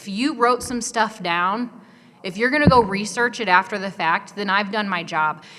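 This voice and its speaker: Through clearly audible background noise, a woman talks at a mid-range pitch, her pitch moving in a typical way. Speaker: photographer and videographer. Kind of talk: conference presentation. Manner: fast.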